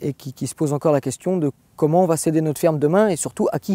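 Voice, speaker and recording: Dry and close with no echo, a man's fairly high voice has a dark, mellow tone, ordinary pitch variation and a fairly quick pace. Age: 20s. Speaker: dairy farmer. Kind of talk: testimony. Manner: halting, many hesitations and repeated words.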